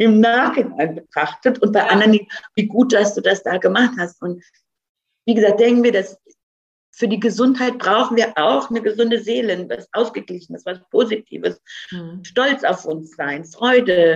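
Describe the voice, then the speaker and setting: Her voice is a plain, everyday voice, fairly high for a woman, with lively intonation. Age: 50s. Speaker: food company founder. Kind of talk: interview.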